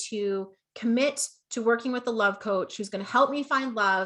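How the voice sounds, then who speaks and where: Bright and sharp in tone, a woman with a slight Canadian accent speaks at a fairly high pitch and a moderate pace, with ordinary pitch variation. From Canada. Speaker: business coach. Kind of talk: online masterclass. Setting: Facebook livestream. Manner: animated.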